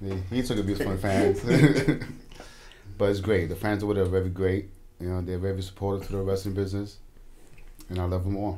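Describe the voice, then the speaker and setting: There is audible room echo as a man speaks very fast in a monotone, flat intonation, broken by long, frequent pauses. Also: fairly low pitch for a man. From Brooklyn, New York (Bushwick), Puerto Rican family. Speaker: pro wrestler. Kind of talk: radio interview.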